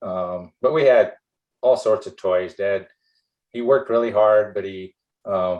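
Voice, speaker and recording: Long, frequent pauses break up a man's fairly slow speech. He has an American accent, and his loudness swings a lot. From US Midwest, South Dakota. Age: 60s. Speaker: former athlete. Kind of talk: interview podcast. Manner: hesitant, many fillers.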